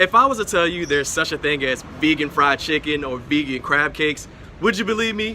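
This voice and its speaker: Fairly quick-paced man with lively intonation over noticeable background noise. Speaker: TV reporter and digital host. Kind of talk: news reporter narration.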